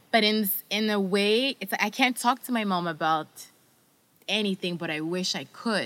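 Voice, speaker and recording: A woman with an ordinary speaking voice, medium pitch and ordinary pitch variation is heard in a very clean recording with a silent background. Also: moderate pace. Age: 30s. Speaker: book podcast co-host. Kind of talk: casual chat.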